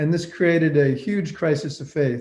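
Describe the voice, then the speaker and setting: This man has a somewhat breathy, dark, mellow tone, fairly even intonation and an American accent. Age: 60s. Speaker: senior devotee recalling his spiritual teacher. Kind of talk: reminiscence talk. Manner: conversational with frequent fillers.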